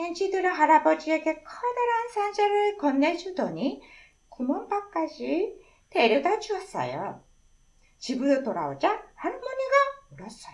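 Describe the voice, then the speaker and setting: Her pitch extremely high, a woman speaks at a fairly slow pace with very wide pitch swings and big shifts in loudness. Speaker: storyteller. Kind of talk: children's story reading.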